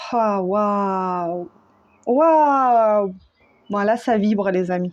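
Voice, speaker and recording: The voice moves at a very slow pace in a calm tone, with ordinary pitch variation and a quiet background. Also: woman, medium pitch for a woman. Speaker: tarot reader / spiritual medium. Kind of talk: spiritual guidance reading. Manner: calm, settled; usually loud.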